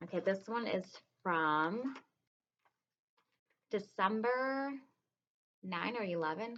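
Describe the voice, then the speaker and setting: A woman speaks with ordinary pitch variation. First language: Spanish. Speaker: kindergarten teacher. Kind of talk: reading aloud to children. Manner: casual, hesitant with many ums.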